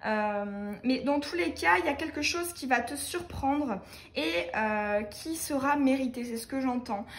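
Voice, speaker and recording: Speaking at a fairly slow pace, a woman uses a high pitch and lively intonation in a room with audible echo. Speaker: tarot card reader. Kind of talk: tarot reading for viewers. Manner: many hesitations.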